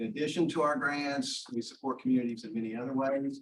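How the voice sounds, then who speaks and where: Speaking at a fairly quick pace with a West Virginia accent, this man keeps his medium pitch fairly even in intonation. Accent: southern West Virginia. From southern West Virginia. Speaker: foundation representative. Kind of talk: welcome speech. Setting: meeting room.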